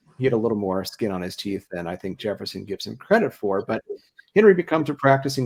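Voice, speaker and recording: Here a man speaks at medium pitch with an American accent. His pace is very fast. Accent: slight Ohio accent, mostly suppressed. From Ohio. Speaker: historian and event host. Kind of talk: public history talk, conversational discussion. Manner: hesitant, frequent fillers and repetitions.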